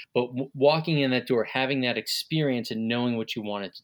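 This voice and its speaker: At a moderate pace, a man with a normal speaking voice talks at medium pitch with ordinary pitch variation on a very clean recording with a silent background. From Long Island, New York. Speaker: interviewer, radio alumnus. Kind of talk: interview.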